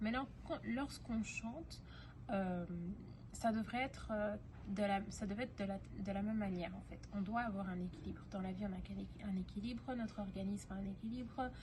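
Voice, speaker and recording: Noticeable background noise and audible room echo accompany a woman speaking at a moderate pace. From Belgium, Brussels. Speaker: singing teacher. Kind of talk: tutorial. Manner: halting, many fillers.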